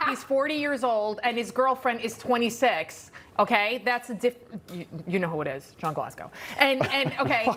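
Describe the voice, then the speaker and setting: In a Bronx accent, a woman with a high pitch speaks at a moderate pace with lively intonation over noticeable background noise. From New York City (the Bronx). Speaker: TV news panel host. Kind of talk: TV panel discussion.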